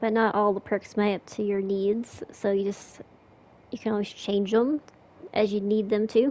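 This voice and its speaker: The delivery moves at a moderate pace with monotone, flat intonation. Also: woman, medium pitch for a woman. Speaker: gaming streamer. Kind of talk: gameplay commentary tutorial. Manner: casual, slightly halting.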